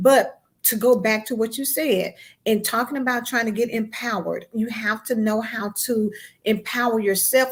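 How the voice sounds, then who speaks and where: At a moderate tempo, the speech comes out somewhat breathy. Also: woman. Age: 50s. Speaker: magazine editor and podcast host. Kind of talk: interview on a live broadcast. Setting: online live stream.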